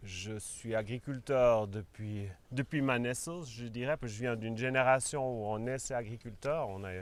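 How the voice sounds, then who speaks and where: A man talks at a moderate pace with a medium pitch and ordinary pitch variation. He has a plain, everyday voice. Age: 60s. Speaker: organic farmer. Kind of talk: interview. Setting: at his farm.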